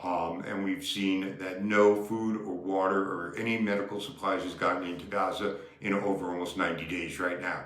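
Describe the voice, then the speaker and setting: Delivered with fairly even intonation and hardly any pauses, the speech carries audible room echo and noticeable background noise. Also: man, very deep, low pitch for a man, moderate pace. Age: 70s. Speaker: activist. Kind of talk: political commentary. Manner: impassioned.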